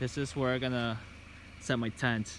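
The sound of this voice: A man speaks at a moderate pace with a fairly bright tone and little pitch movement. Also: medium pitch for a man.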